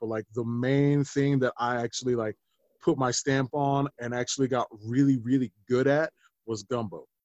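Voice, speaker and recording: In an ordinary speaking voice, a man with an American accent talks at a moderate pace. His pitch is medium and his intonation fairly even. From Denver, Colorado. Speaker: chef and musician. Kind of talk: casual interview chat.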